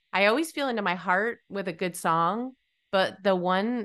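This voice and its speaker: A woman with an American accent at a moderate pace, ordinary pitch variation, and a quiet background. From New England, US. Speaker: podcast host and songwriting coach. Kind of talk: casual interview chat. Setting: video call. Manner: animated.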